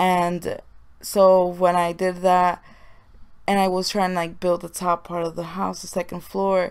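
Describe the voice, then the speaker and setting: Speaking at a fairly slow pace with a monotone, flat intonation, a woman has a fairly low pitch in a very clean recording with a silent background. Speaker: gaming YouTuber. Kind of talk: voiceover commentary. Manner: quiet, low voice. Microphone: may sound far from the mic.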